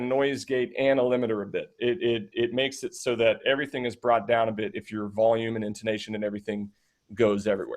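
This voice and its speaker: Speaking at a very fast pace against a quiet background, a man keeps a medium pitch. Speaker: streaming tutorial presenter. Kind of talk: tutorial. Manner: loud.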